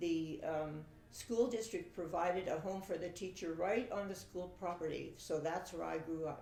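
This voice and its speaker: A woman speaks at a fairly low pitch with fairly even intonation. Room echo is audible. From Saskatchewan, Canada. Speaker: family interviewee telling her life story. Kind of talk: oral history interview. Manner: hesitant, with fillers.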